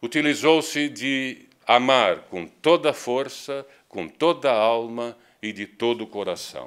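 Over a quiet background, a man speaks at a very slow pace with ordinary pitch variation and big swings in loudness. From Brazil. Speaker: spiritist lecturer. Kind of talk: lecture. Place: hall.

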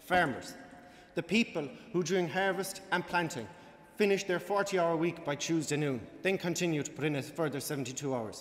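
A man with an Irish accent, high in pitch, at a moderate pace with ordinary pitch variation. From Ireland. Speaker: student debater, team captain; student debater. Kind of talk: formal debate speech. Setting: stage with audience. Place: hall. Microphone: podium.

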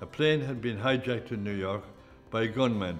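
A man with an Irish accent at a fairly quick pace, with faint music in the background. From Ireland. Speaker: press photographer. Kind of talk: interview recollection. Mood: relaxed, wry recollection. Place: home room.

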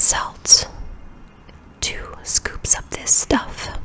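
A woman whispers at a very slow pace amid noticeable background noise. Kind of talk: ASMR self-care voiceover. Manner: soft-spoken, whispered.

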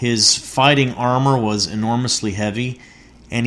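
Someone does plain reading aloud. Their intonation stays fairly even.

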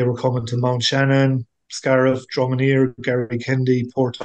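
The speaker has a Tipperary accent. The pace is moderate and the intonation flat and monotone. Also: man. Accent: Irish (Tipperary). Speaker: angling club member and lake angler. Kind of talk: interview.

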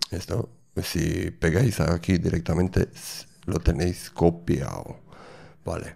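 Very slow and full of long, frequent pauses, a man's voice sits at a very deep, low pitch with a dark, mellow tone. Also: ordinary pitch variation. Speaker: tech tutorial creator; developer tutor. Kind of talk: tutorial. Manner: halting. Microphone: studio mic.

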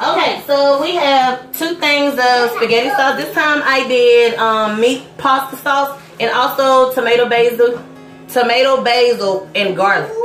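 A woman's high-pitched voice at a fairly slow pace with ordinary pitch variation, audible room echo and clear music in the background. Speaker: vlogger mother. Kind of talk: casual vlog chat. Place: kitchen. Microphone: phone near.

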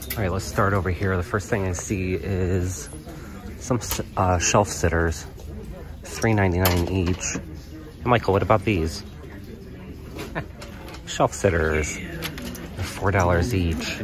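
A man speaks very slowly in a very deep, low voice with fairly even intonation and long, frequent pauses. The sound is dry with no echo, and background noise is noticeable. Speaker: thrift reseller. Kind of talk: casual vlog chat. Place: shop. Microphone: phone near.

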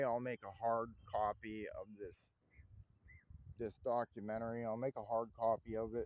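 A man speaks with a dry sound that has no echo. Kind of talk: casual vlog chat. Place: open country.

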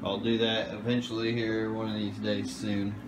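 A man talks over loud background noise. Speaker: aquarium hobbyist seller. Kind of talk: casual vlog chat. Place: home room. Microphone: phone near.

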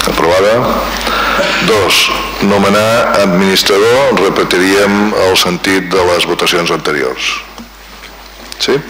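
Noticeable background noise lies behind a man talking at a very slow pace with long, frequent pauses. His pitch is fairly low and varies in an ordinary way. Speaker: mayor chairing the municipal council. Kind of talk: formal council session chairing. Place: hall. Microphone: podium.

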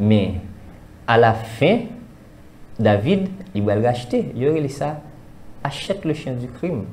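The speech moves at a very slow pace with long, frequent pauses. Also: man. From Haiti. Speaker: spiritual commentator. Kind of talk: discussion. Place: studio. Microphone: lapel.

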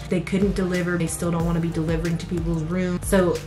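With clear music in the background, a woman speaks at a fairly low pitch. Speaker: vlogger. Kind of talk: casual vlog chat. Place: home room.

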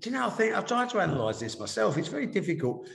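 Audible room echo surrounds the voice of a man as he speaks. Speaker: remote interview guest. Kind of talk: interview answer. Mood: reflective, candid. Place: office. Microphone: video call.

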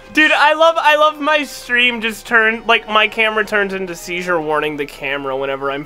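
Noticeable background noise sits under the speech. The delivery keeps a moderate pace. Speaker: gaming streamer. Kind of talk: casual chat. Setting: online voice chat at home. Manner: profane, excitable.

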